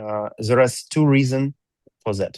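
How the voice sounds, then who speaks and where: Recorded with a dry, close sound and no echo, a man with a non-native accent speaks with fairly even intonation. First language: not English. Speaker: company executive presenting to community. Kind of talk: reading aloud a prepared presentation. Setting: video call. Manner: halting, with fillers.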